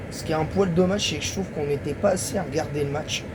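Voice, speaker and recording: Noticeable background noise and audible room echo surround the voice. A man talks, his pitch varying in an ordinary way. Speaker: YouTuber football commentator. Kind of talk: casual video monologue. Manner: halting; soft-spoken.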